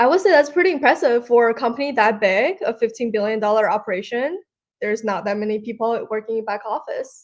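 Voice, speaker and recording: A woman with an unremarkable speaking voice talks at a fairly quick pace in a fairly high pitch with lively intonation. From China (Shanghai), moved to Oregon at 16. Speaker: ex-tech finance worker, accountant and yoga instructor. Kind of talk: casual interview chat. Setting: live stream, in person.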